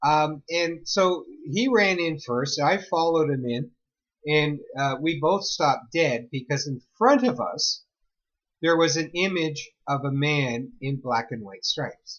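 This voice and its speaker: A man with a Canadian accent speaks at a fairly slow pace, his fairly high pitch rising and falling in lively intonation. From Ontario, Canada (Mississauga). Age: 60s. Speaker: spiritual storyteller. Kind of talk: personal storytelling monologue. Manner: casual, halting with fillers.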